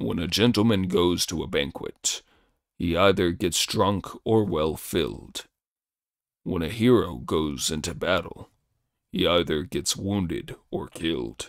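Using a put-on character voice, a man speaks fairly slowly with a very deep, low pitch in a very clean recording with a silent background. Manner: whining, complaining.

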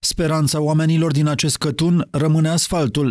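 A man with an unremarkable speaking voice, fairly high pitch, fairly even intonation and a fairly quick pace, on a very clean recording with a silent background. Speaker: news reporter. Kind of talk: scripted narration.

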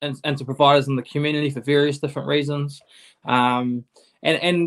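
Against a quiet background, a man talks at a fairly quick pace with monotone, flat intonation. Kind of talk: interview answer. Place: home room. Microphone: video call.

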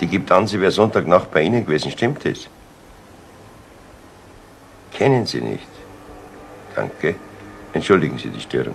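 A man puts on a low character voice with vocal fry and big pitch swings. He keeps a moderate pace, with long pauses that come often.

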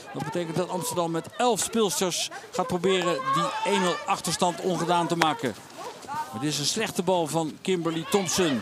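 A man talks at a high pitch while noticeable background noise fills the recording. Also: lively intonation, moderate pace. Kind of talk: hockey highlights voice-over commentary. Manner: brisk, even and matter-of-fact, with clipped play-by-play delivery; informative and neutral, listing names and facts in a steady rhythm.

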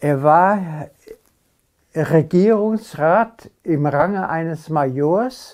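Over a quiet background, a man with a fairly high pitch and ordinary pitch variation speaks at a very slow pace, leaving long, frequent pauses. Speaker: contemporary witness. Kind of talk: interview answer. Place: home room.

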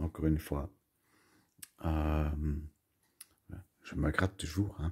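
Over a quiet background, a man speaks in a very deep, low pitch with a dark, mellow tone. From Belgium, Brussels. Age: 40s. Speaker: YouTuber, collector; home vlogger. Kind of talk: casual vlog monologue; casual vlog chat. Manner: halting, many fillers and repetitions. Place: home room. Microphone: phone near.

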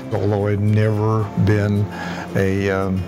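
Over clear background music, a man with a fairly low pitch speaks at a fairly slow pace. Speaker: community volunteer rebuilding laptops. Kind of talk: interview answer. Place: workshop. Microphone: lapel.

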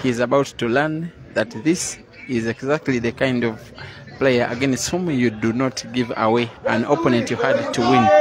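A man's fairly slow speech with ordinary pitch variation, a dry sound with no echo and noticeable background noise. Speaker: match commentator. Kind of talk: commentary.

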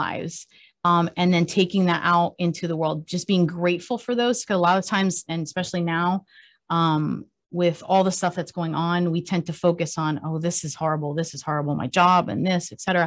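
The speaker keeps a moderate pace and fairly even intonation. The background is quiet. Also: woman. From Cuba, raised in the US. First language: Spanish. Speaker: country singer. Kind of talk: casual interview. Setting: radio studio.

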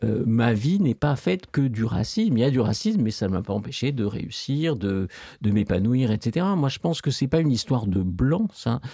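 A man speaks at a moderate pace with lively intonation and a dark, mellow tone. The sound is dry with no echo over a quiet background. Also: very even loudness. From France. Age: old. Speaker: philosophy professor. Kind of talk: interview. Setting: studio. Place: studio. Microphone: studio mic.

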